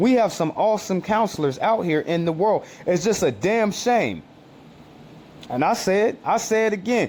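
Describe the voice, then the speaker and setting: A man with a high pitch, lively intonation and an animated tone at a moderate pace. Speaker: street preacher. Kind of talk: sermon. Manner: halting.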